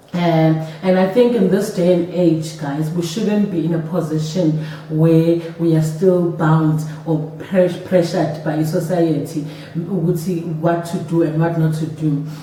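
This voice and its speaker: A woman speaks at a very slow pace with a fairly low pitch. Her intonation is monotone and flat, with noticeable background noise. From South Africa. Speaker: stay-at-home mom and vlogger. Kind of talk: casual talk to camera.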